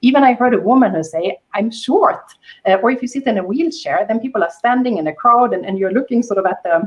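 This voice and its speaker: A woman speaks very fast in a high pitch. Her intonation is lively. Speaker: panelist. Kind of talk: panel discussion. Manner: halting.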